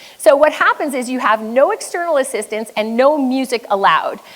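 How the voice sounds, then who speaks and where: Noticeable background noise sits behind a woman speaking in a high voice. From Quebec, French Canadian. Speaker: business coach. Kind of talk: motivational keynote talk. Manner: high energy.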